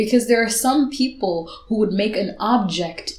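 A woman talks in a fairly high pitch with ordinary pitch variation. Noticeable background noise runs behind her. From Zambia, then Ireland from age eight. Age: 20s. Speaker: poet and author. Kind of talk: casual chat; spoken word poetry. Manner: soft-spoken.

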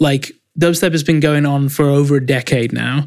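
This man has an English accent and a fairly high pitch. His intonation stays fairly even in a very clean recording with a silent background. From England. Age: 20s. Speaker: music producer. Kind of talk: interview.

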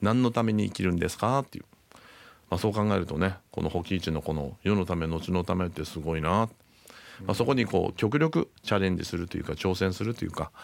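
A man's very deep, low voice, very fast, with ordinary pitch variation. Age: 60s. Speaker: entrepreneur co-host. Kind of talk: radio show chat.

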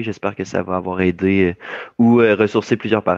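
In a Quebec accent, a man with a fairly low voice speaks very fast in a flat monotone. The sound is dry and close with no echo against a quiet background. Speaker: youth esports coach and entrepreneur. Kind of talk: interview. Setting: video call.

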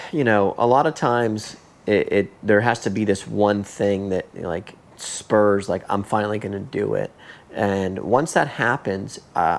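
Pitched fairly low, this man has a plain, everyday voice and speaks at a moderate pace with fairly even intonation. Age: 30s. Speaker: podcast host, thru-hiker. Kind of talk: casual interview. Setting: in person, at guest's home.

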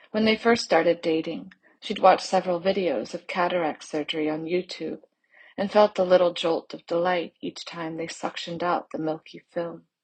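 With a normal speaking voice, a woman talks at a moderate pace and fairly low pitch, her loudness swinging widely. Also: fairly even intonation. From US South, Charleston, South Carolina. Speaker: fiction writer. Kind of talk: reading aloud.

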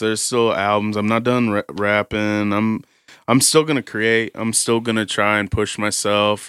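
Here a man speaks in an American accent with an ordinary speaking voice at medium pitch. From Warsaw, Indiana, US Midwest. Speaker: rapper and artist. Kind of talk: casual interview chat.

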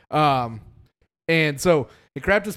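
Against a silent background in a very clean recording, a man with a fairly high voice speaks with lively intonation. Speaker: podcast host. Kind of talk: casual chat.

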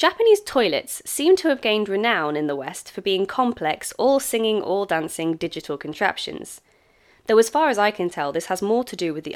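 In a very clean recording with a silent background, a woman with a British accent talks at a fairly quick pace with very wide pitch swings. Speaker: English teacher living abroad, memoir narrator. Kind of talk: reading aloud own memoir. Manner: formal.

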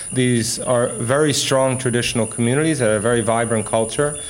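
Moderate pace and fairly even intonation amid noticeable background noise. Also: man. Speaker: historian. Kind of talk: interview commentary.

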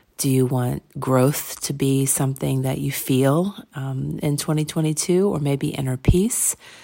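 Speaking at a fairly slow pace, a woman uses a very deep, low pitch and a dark, mellow tone with fairly even intonation. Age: 40s. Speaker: podcast host and interior design blogger. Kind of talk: motivational solo talk. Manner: casual with frequent fillers.

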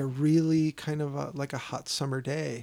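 A slight Chicago accent on a very clean recording with a silent background. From Chicago South Side. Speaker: podcast host. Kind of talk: casual chat.

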